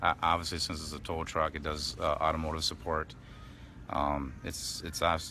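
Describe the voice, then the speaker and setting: With music in the background, a man mumbles at a moderate pace in a very deep, low pitch, his intonation monotone and flat. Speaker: tow truck driver at protest camp. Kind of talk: live stream chat. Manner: mumbling, hesitant.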